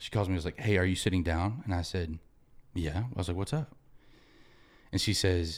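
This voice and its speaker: A man speaks in a very deep, low voice that is somewhat breathy. The recording is very clean, with a silent background. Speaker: podcast guest. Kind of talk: casual interview chat.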